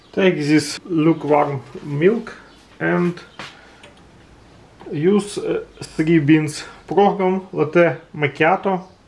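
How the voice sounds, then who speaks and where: Someone speaks at a very slow pace with a non-native accent. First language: non-native English speaker. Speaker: home coffee demonstrator. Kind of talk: casual how-to demonstration. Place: kitchen. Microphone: phone near.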